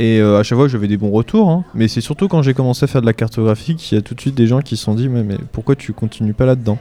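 Normal pitch movement in a man's mid-range voice, set against clear background noise. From France, Normandy (Orne). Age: 20s. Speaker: illustrator. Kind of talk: live radio interview before audience. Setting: stage with audience. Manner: halting.

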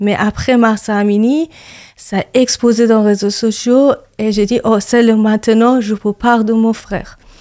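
A woman with a Persian accent speaks at a fairly slow pace in a dark, mellow tone and a monotone, flat intonation, recorded dry and close with no echo. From Iran. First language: Persian (speaking French). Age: 30s. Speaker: activist and yoga teacher. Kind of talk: interview testimony. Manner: halting.

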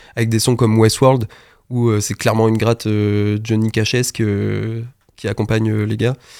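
A man talks with monotone, flat intonation. His voice rests at a medium pitch. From Normandy, France. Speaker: music producer. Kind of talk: radio interview. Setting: radio studio.

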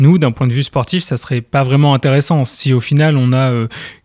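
In an unremarkable speaking voice, a man talks at medium pitch. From Normandy, France. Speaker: quidditch club president. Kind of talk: radio interview.

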